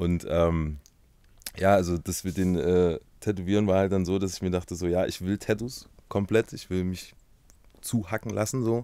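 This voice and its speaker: In a dark, mellow tone, a man speaks with a very deep, low pitch and fairly even intonation at a moderate pace. Long, frequent pauses break his speech, and the sound is dry with no echo against a quiet background. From Halle (Saale), Germany. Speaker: tattoo artist, YouTuber, musician. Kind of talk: casual interview chat. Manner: casual, slangy. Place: studio. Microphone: studio mic.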